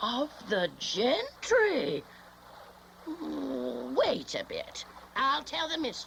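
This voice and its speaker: A woman speaks in a put-on character voice at a very slow pace, with long, frequent pauses and clear background noise. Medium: old radio play. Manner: brusque, suspicious.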